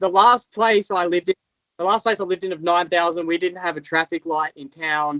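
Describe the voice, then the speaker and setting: Here a man speaks with an Australian accent at a high pitch. His intonation is fairly even and his pace fairly quick. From rural Australia. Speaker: motocross stunt rider. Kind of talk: casual interview chat. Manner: halting, many fillers.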